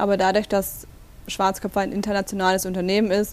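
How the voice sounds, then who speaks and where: With a normal speaking voice, a woman talks at a fairly quick pace, her medium pitch showing ordinary variation. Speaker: store manager. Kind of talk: interview. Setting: in the store.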